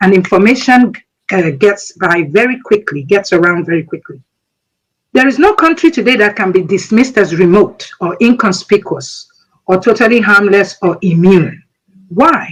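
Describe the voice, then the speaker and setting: A moderate pace with a Nigerian accent. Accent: Nigerian Igbo English. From Nigeria, Igbo. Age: 60s. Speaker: military veteran. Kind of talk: speech.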